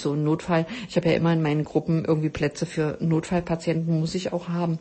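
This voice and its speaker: Somewhat breathy and fairly low in pitch, a woman speaks at a very fast pace. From East Germany. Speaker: podcast host, health coach. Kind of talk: solo podcast talk. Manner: many filler sounds.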